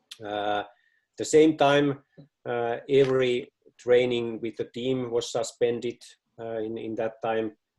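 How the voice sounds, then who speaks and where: A man with a Finnish accent talks at a fairly slow pace and a medium pitch. His intonation is fairly even, with long, frequent pauses. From Finland. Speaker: football club director. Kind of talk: presentation. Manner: halting.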